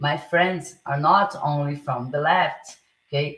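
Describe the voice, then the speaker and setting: With a Portuguese accent, a woman speaks very slowly in a very deep, low pitch and a bright, sharp tone. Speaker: political live streamer. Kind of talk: live stream monologue. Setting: live stream. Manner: halting, many fillers and restarts.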